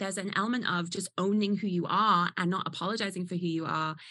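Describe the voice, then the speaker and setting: A woman talks very fast with medium pitch and fairly even intonation. Her tone is bright and sharp. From northern England, Newcastle. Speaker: burlesque performer and dance artist. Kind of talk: casual chat.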